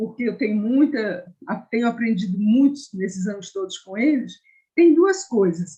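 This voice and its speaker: A woman's fairly high, somewhat breathy voice with a dark, mellow tone, lively intonation, big swings in loudness and a fairly slow pace. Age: 70s. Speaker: hospital volunteer and psychodramatist. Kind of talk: online discussion comment.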